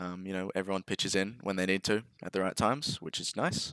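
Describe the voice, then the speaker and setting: On a very clean recording with a silent background and a dry, close sound with no echo, a man with an Australian accent speaks at a moderate pace in a very deep, low voice. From Australia, Sydney. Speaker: esports player. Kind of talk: casual Q&A chat.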